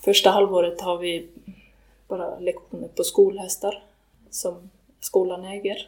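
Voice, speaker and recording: Long pauses come often from this woman. Her delivery is fairly slow. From western Sweden. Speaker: riding instructor and horse trainer. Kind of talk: interview. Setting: on location in Iceland. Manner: halting.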